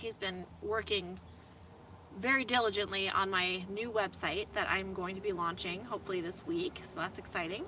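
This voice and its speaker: Here is a normal speaking voice with an American accent. Intonation stays fairly even at a moderate pace. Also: woman, medium pitch for a woman. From US Midwest, Indianapolis area. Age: 30s. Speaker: van-life vlogger. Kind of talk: casual livestream chat reading viewer comments. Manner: casual, filler-heavy.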